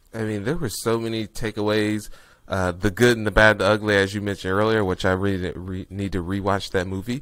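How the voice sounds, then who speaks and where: A man's normal speaking voice, fairly low in pitch with fairly even intonation, at a fairly quick pace with an American accent, in a very clean recording with a silent background. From US Midwest, Indianapolis, Indiana. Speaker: real estate investor. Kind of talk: podcast interview.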